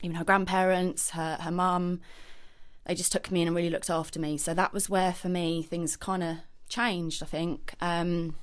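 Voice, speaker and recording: The speaker has a southern English accent and keeps a moderate pace. The intonation stays monotone and flat. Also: woman, fairly low pitch for a woman. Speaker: podcast guest. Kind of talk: personal testimony. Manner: hesitant.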